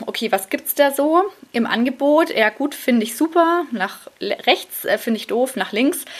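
Lively intonation marks a woman's speech, with noticeable background noise behind her. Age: 30s. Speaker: podcast host and freelance journalist. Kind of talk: casual solo monologue. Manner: casual with many fillers.

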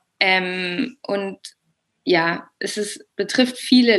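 A woman talks with a medium pitch. Her pitch variation is ordinary. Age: 20s. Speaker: yoga teacher and language teacher. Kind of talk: interview about personal experience. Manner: hesitant, many filler sounds.

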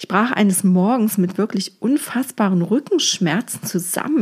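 A woman speaks at a medium pitch, fairly slowly, with ordinary pitch variation. Her tone is warm, dark and mellow, and somewhat breathy. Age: 40s. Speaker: feng shui coach, podcast host. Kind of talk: personal monologue podcast. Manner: warm, conversational.

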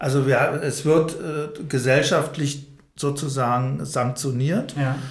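A man's somewhat breathy, fairly high voice at a very slow pace, with fairly even intonation and audible room echo. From Odenwald, Hesse, then Berlin-Spandau from age six. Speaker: anti-violence trainer and social worker. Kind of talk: interview conversation. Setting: institute office, fourth floor. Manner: hesitant, many fillers.

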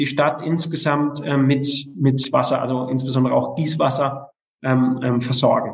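A man with a fairly high pitch speaks at a fairly slow pace. His voice is somewhat breathy and his intonation is monotone and flat. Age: 40s. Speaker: local politician. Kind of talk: interview. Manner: halting, many fillers.

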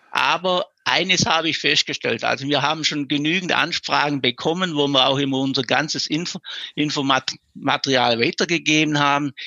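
A man's unremarkable speaking voice, fairly high in pitch, with fairly even intonation at a moderate pace. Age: 50s. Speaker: local lifesaving club vice chair and councillor. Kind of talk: interview.

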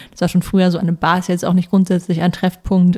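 A woman speaks at a fairly low pitch, with a dry, close sound and no echo. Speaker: podcast co-host, tech journalist. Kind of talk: interview.

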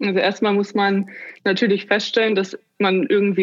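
At a moderate pace, a woman speaks with a normal speaking voice. Her pitch sits at a medium level. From northern Germany (Bremen/Oldenburg region). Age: 30s. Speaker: life coach. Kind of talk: interview.

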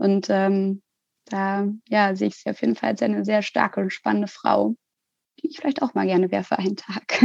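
A woman talks at a fairly quick pace, yet with long, frequent pauses. The sound is dry and close, with no echo. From Hamburg, northern Germany. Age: 20s. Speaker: social worker and part-time student. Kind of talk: interview.

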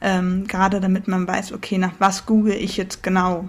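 The voice is somewhat breathy, monotone and flat, and moves at a moderate pace. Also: woman. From northern Germany. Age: 20s. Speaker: podcast co-host, student. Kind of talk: casual chat.

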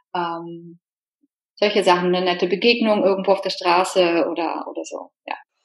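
In an unremarkable speaking voice at medium pitch, a woman speaks at a moderate pace with fairly even intonation and big swings in loudness. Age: 40s. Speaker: podcast guest, single woman. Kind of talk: casual interview chat.

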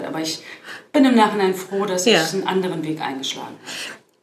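Over audible room echo, a woman talks very fast at a medium pitch. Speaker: fintech advisor and former bank executive. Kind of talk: interview. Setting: in person at a conference in Berlin.

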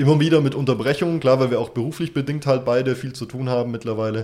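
Talking at a very fast pace, a man with a dark, mellow tone is heard on a very clean recording with a silent background. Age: 20s. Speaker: podcast co-host. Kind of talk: casual chat.

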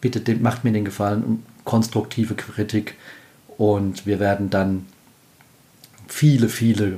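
A man's somewhat breathy voice, fairly low in pitch, with a dark, mellow tone, monotone, flat intonation and a moderate pace. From Palatinate, Germany. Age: 40s. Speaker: podcast host. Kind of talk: solo podcast talk. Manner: casual.

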